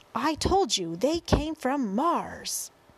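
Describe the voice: A woman does a put-on character voice, high in pitch and slow, with big pitch swings, vocal fry and a slightly husky edge.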